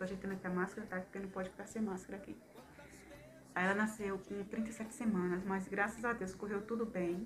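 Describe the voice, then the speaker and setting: A woman speaks with fairly even intonation. Noticeable background noise sits behind her voice. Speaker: new mother vlogger. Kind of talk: casual vlog chat. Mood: warm, grateful. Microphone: phone near.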